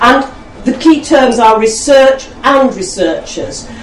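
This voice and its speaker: A woman's moderate-paced speech amid noticeable background noise. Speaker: network convener introducing speakers. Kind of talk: event introduction and chairing.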